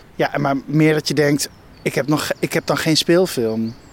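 Fairly even intonation from a man, at a moderate pace. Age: 30s. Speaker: film director. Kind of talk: casual interview on a walk. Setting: outdoors, walking. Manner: halting.

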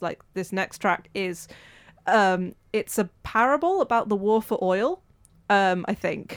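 In a very clean recording with a silent background, a woman with a Welsh accent speaks at a medium pitch with ordinary pitch variation. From Wales. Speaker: community radio volunteer presenter. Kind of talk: casual interview chat.

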